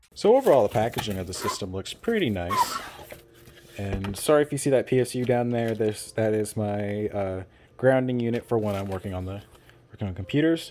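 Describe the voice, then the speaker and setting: Against noticeable background noise, a man with a fairly low voice talks at a fairly quick pace. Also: ordinary pitch variation. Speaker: tech YouTuber, PC builder. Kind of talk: unscripted product overview. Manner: casual, halting with restarts.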